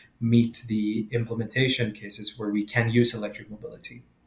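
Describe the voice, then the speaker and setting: A somewhat breathy male voice at a moderate pace. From Sweden. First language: Swedish. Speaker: entrepreneur, company founder. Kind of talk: interview. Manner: halting, many fillers and repetitions.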